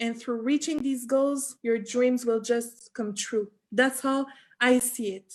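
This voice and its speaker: A woman speaks in a Quebec accent at a very slow pace. Her high voice stays monotone and flat. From Quebec, Sherbrooke. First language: French. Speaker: flight attendant. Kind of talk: live video interview. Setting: live video call.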